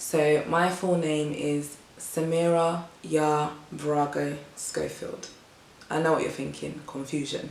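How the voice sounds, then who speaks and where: A woman with a British accent, very deep and low in pitch, monotone and flat, at a very slow pace, with audible room echo and noticeable background noise. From England, Ghanaian family. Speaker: vlogger. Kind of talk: casual vlog talk to camera.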